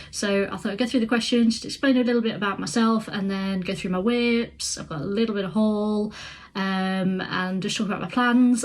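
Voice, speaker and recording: This woman has a Midlands accent and a fairly high, somewhat breathy voice. She talks at a fairly quick pace with hardly any pauses and ordinary pitch variation. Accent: British (Midlands). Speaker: crafts vlogger. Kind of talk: casual vlog to camera. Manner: hesitant, many fillers.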